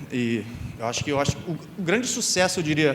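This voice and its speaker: Lively intonation from a man with a fairly high pitch, against noticeable background noise. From Brazil, Rio de Janeiro state (Campos dos Goytacazes). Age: 30s. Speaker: graphic and type designer, conference speaker. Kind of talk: conference talk. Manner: casual, with many fillers.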